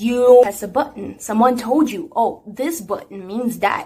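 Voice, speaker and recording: This woman speaks with a Brazilian accent. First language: Portuguese. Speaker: singer, singing teacher and beatboxer. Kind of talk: tutorial. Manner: casual, chatty.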